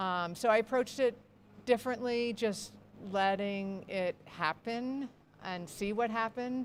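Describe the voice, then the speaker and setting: A woman speaks in a normal speaking voice at a fairly high pitch and a fairly slow pace, with ordinary pitch variation. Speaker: ultrarunner and race board president. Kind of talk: interview. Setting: live broadcast at race venue.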